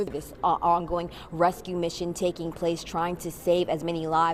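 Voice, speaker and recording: A woman speaks with an American accent at a moderate pace. Her tone is energetic. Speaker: television news reporter. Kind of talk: live TV news report. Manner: clear, energetic news delivery.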